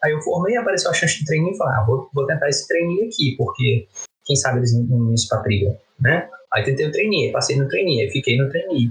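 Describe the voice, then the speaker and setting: Quietly, a man talks at a very fast pace. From Brazil. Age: 30s. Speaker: economist and English teacher. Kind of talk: casual chat. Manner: quiet, subdued voice.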